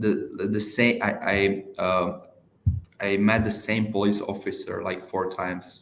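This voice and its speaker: A man with a fairly low pitch speaks in a monotone, flat delivery with an Eastern European accent. Room echo is audible. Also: fairly slow pace. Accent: Eastern European, heard as Russian. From Czech Republic. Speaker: door-to-door salesperson. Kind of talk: casual chat. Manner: halting, many fillers.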